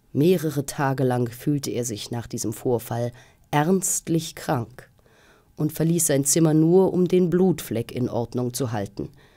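In a very deep, low voice with a dark, mellow tone, a woman speaks at a fairly slow pace with lively intonation and a theatrical, dramatic tone. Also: quiet background. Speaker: actress reading audiobook. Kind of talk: audiobook narration of a gothic ghost story, read aloud. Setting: studio. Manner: theatrical, measured and suspenseful, with storyteller's dramatic emphasis. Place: studio.

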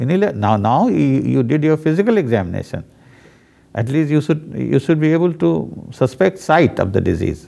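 A man with a dark, mellow tone and fairly high pitch talks at a moderate pace, his pitch swinging very widely. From India. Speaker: professor of medicine. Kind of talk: case discussion teaching. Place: studio. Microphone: lapel.

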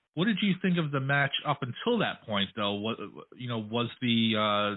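The man has an unremarkable speaking voice and medium pitch. He keeps a moderate pace with lively intonation. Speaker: radio interviewer. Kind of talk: radio dj patter, casual interview banter. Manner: friendly, relaxed, chatty, easygoing.

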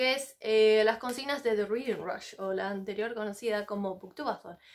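A woman at a moderate pace. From Argentina. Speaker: book vlogger. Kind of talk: casual vlog monologue. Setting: sitting on the floor of her home library. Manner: animated.

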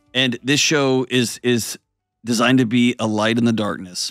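Moderate pace in a dry sound with no echo, faint music in the background. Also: man. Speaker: show host. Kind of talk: show intro and book promotion. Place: studio. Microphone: studio mic.

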